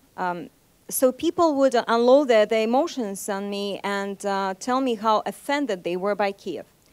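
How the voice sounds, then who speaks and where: With a Moscow accent, a woman speaks at a moderate pace. Her pitch sits fairly high, and her intonation is lively. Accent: Russian, Moscow. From Russia (Nizhny Novgorod, Saint Petersburg). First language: Russian. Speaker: journalist. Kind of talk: seminar talk. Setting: seminar with audience. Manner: hesitant, many fillers.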